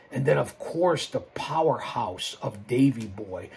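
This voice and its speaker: Noticeable background noise runs under this recording of a man. He sounds animated and moves at a moderate pace. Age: 60s. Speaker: wrestling commentator and YouTuber. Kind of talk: live stream monologue. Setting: live stream. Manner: repetitive, halting.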